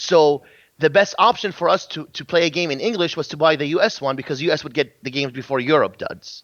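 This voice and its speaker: Very fast and fairly high-pitched, a man speaks with a Kuwaiti accent and ordinary pitch variation. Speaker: game industry guest. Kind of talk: casual interview chat.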